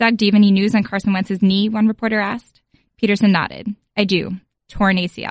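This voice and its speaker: Very fast and somewhat breathy, a woman at medium pitch speaks with an American accent in a monotone, flat intonation. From Philadelphia. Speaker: sports journalist. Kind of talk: reading aloud.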